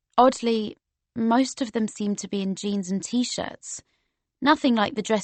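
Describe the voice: Quiet surroundings, ordinary pitch variation, and plain reading aloud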